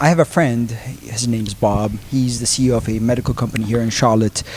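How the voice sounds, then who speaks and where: A man speaks with a Turkish accent and a fairly even intonation. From Turkey, Istanbul. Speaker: transfer printing business owner. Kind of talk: podcast interview. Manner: hesitant, many fillers.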